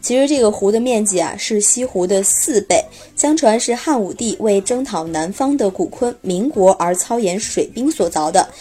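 A woman with an unremarkable speaking voice talks at a moderate pace and a fairly high pitch, with lively intonation and hardly any pauses. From Xi'an, Shaanxi. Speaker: podcast host. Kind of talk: scripted narration. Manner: relaxed storytelling with filler particles.

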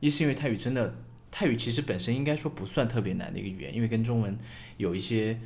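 Full of vocal fry, the voice races at a very fast pace with lively intonation and audible room echo. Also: man, medium pitch for a man. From China, small city. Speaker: podcast co-host. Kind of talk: casual chat.

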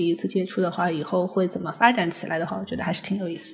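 A woman of medium pitch speaks with a slight Shanghai accent. Noticeable background noise can be heard. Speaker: designer and guest. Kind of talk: casual chat.

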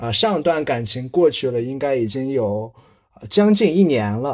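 In a very clean recording with a silent background, a man with an unremarkable speaking voice talks fairly slowly at a medium pitch, his intonation lively. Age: 20s. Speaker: guest. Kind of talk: monologue.

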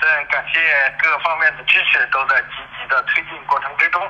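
A man talking at a fairly slow pace. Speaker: conservation organization secretary-general. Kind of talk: interview. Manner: halting, many filler sounds.

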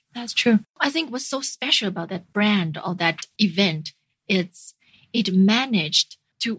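A medium-pitched woman at a fairly slow pace, in a dry, close sound with no echo. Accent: Chinese. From northern China (Jinan). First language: Mandarin Chinese. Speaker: startup community founder and CEO. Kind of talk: interview.

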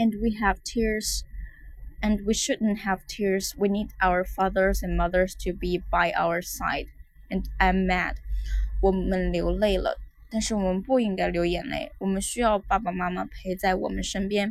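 A woman speaks at a fairly slow pace. She has a Chinese accent. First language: Mandarin Chinese. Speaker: English teacher. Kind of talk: language lesson, repeating and translating.

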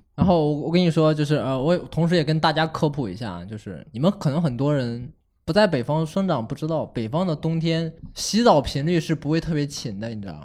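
A plain, everyday voice from a man, fairly high in pitch, fairly quick in pace, with lively intonation. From Henan, China. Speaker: podcast host. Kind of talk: casual chat.

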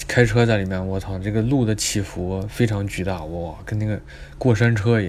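Noticeable background noise sits behind a man speaking at a moderate pace and a fairly low pitch. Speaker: student podcaster. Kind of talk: casual travel storytelling monologue. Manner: animated, exclamatory.

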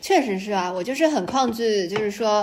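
There is noticeable background noise. A woman talks with ordinary pitch variation. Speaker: game industry worker considering a PhD. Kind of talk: casual chat. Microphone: too far from the mic at first.

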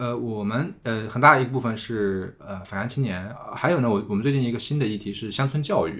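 A man's fairly quick delivery in an ordinary speaking voice, medium-pitched, with ordinary pitch variation. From Tongxiang, Zhejiang (Jiangnan countryside). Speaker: returnee silk farmer. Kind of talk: casual interview conversation.

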